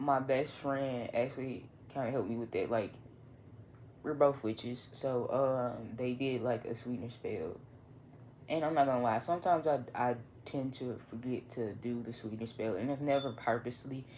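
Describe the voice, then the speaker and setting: The speaker has a northern Louisiana accent and talks at a moderate pace with long, frequent pauses. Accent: northern Louisiana Southern. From northern Louisiana (Monroe). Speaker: vlogger, writer and photographer. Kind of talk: casual monologue vlog. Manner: halting, many fillers.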